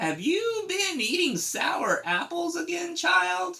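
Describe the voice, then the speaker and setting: Using a put-on character voice, a man talks at a fairly slow pace and an extremely high pitch. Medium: read story. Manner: soft, tender.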